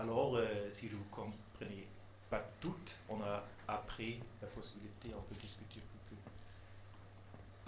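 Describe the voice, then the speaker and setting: The speaker has a non-native accent and talks at a very slow pace with fairly even intonation and big swings in loudness. Audible room echo and noticeable background noise accompany the voice. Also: man, fairly low pitch for a man. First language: not French (speaking French). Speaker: neuroscience researcher. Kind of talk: conference talk. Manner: halting, many hesitations.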